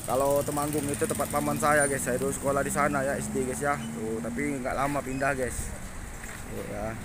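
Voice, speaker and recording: A man with a Palembang accent talks at a fairly quick pace. Audible room echo and noticeable background noise surround him. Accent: Palembang accent, somewhat rough-sounding. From Palembang, South Sumatra. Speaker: vlogger. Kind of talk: casual walking vlog. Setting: outdoors, walking along a street.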